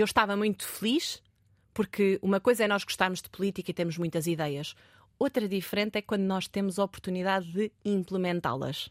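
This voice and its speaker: The sound is dry and close, with no echo. The speaker keeps a fairly quick pace. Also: woman, medium pitch for a woman, ordinary pitch variation, big swings in loudness. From Portugal, Marinha Grande. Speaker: politician. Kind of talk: interview. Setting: studio. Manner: hesitant.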